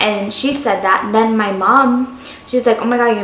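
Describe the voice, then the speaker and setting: A woman speaks at a moderate pace with fairly even intonation, with audible room echo and noticeable background noise. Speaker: lifestyle vlogger, stay-at-home mom. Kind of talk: casual vlog tutorial.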